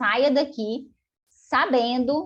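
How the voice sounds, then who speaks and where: A woman talks against a quiet background. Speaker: finance educator. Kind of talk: live online class. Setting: video call. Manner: animated.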